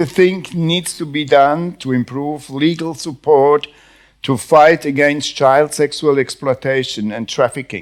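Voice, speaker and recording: In a Swiss German accent, a man speaks fairly slowly at a fairly high pitch with ordinary pitch variation, on a very clean recording with a silent background. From German-speaking Switzerland. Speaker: panel moderator. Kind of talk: panel moderation. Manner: halting.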